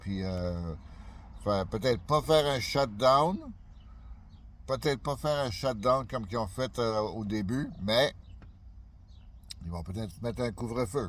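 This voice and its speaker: A man talks at a fairly slow pace with medium pitch and lively intonation. He leaves long, frequent pauses. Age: 60s. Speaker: YouTuber. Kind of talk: casual vlog monologue. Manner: halting, many fillers.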